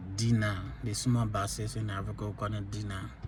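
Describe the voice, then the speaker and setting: A moderate pace and fairly even intonation, set in audible room echo. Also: man. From Liberia. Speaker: vlogger sharing life stories. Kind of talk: personal testimony.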